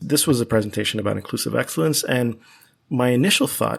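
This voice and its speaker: An American accent marks this man's unremarkable speaking voice. His medium pitch shows ordinary pitch variation. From US, Miami, Florida (Cuban family). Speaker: mathematics professor. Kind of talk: podcast interview.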